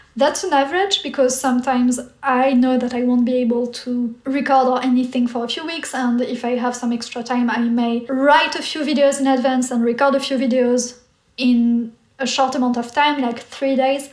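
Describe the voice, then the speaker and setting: This woman speaks in a high pitch and a French accent, with fairly even intonation. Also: moderate pace. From France. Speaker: artist and YouTuber. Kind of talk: casual Q&A chat.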